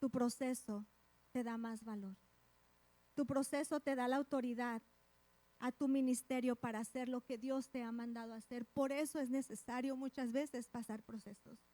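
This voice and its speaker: A woman speaks at a moderate pace in a high pitch with a dark, mellow tone. Her intonation is monotone and flat, and the sound is dry and close with no echo. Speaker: preacher. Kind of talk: sermon. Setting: church.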